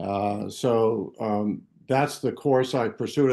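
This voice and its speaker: Against a quiet background, a man speaks in a dark, mellow tone at medium pitch. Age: 70s. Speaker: health author and mentor. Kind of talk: podcast interview. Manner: halting, many fillers.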